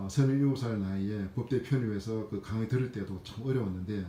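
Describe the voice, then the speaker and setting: A man speaks with a dark, mellow tone, somewhat breathy and fairly low in pitch, his intonation fairly even. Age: 50s. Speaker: civil servant sharing exam experience. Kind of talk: personal testimony vlog. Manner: hesitant with frequent fillers.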